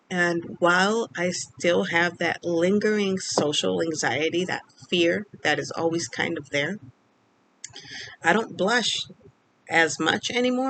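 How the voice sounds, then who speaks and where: Her fairly low voice carries lively intonation as this woman speaks at a fairly slow pace. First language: Spanish. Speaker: speech-language pathologist vlogger. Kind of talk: personal vlog storytelling. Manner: hesitant, many fillers.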